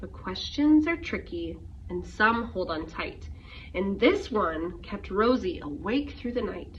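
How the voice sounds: Intonation is lively throughout. The speech moves at a slow pace. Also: woman, medium pitch for a woman.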